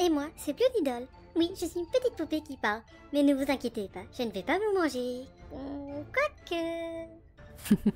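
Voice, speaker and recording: A female-sounding, high-pitched put-on character voice at a moderate pace, with long, frequent pauses and clear music in the background. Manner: teasing, playful, mock-sinister.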